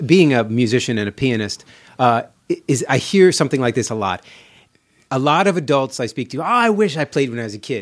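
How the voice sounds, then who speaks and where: With an American accent and an unremarkable speaking voice, a man speaks at a medium pitch and a fairly quick pace, his intonation lively, in a very clean recording with a silent background. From New York, then Los Angeles. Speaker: film composer and musician. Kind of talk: casual chat.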